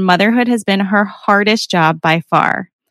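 In a very clean recording with a silent background, a woman speaks at a medium pitch with ordinary pitch variation. She has an ordinary speaking voice, and the sound is dry and close with no echo. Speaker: podcast host. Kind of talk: casual interview conversation.

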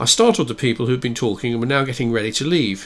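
A plain read-aloud passage

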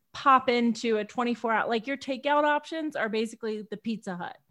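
The background stays quiet. Pitch variation is ordinary. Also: woman. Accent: American. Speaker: podcast co-host. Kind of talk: casual chat about movie.

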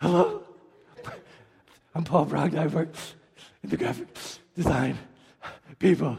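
In a raspy put-on character voice, a man speaks at a moderate pace with a fairly high pitch and long, frequent pauses.

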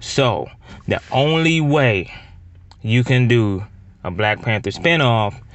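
A man is speaking here. His pace is very slow. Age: 30s. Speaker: podcast host. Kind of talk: casual monologue.

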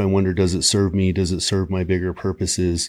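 A normal speaking voice talks at a fairly quick pace, captured in a very clean recording against a silent background. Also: man. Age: 40s. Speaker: podcast host. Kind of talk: casual chat.

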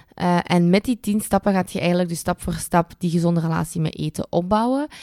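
This woman has a fairly low pitch and a dark, mellow tone, speaking with a Flemish accent in a dry, close sound with no echo. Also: very clean recording, silent background. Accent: Flemish Dutch. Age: 20s. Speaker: dietitian and podcast host. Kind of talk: casual solo podcast monologue.

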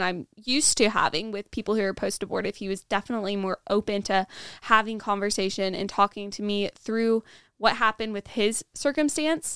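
On a very clean recording with a silent background and a dry, close sound with no echo, the speaker talks at a fairly quick pace with fairly even intonation in an American accent. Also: woman. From Nebraska, US Midwest. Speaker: guest, pro-life outreach volunteer. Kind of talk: casual podcast debrief chat. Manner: sometimes struggles with words.

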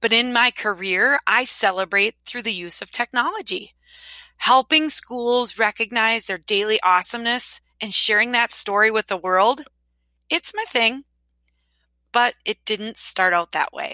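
A woman with a Wisconsin accent sounds animated and bright, sharp in tone, using ordinary pitch variation. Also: fairly slow pace. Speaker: podcast host, school social media consultant. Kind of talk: podcast monologue.

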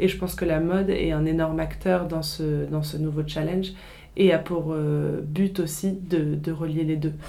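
With audible room echo, a woman with a very deep, low pitch speaks in a monotone, flat intonation. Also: fairly slow pace. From France, Paris. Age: 20s. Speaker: fashion designer. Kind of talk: interview. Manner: hesitant, many fillers.

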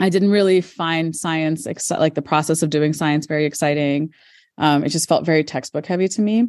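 A woman with an American accent and a very deep, low pitch, at a fairly quick pace with fairly even intonation against a quiet background. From United States. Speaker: high school science teacher. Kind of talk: interview. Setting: school, between classes.

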